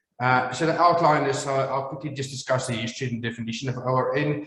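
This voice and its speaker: With audible room echo, a man of medium pitch talks at a fairly quick pace using fairly even intonation. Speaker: maxillofacial surgeon. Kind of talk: lecture. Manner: halting, many fillers.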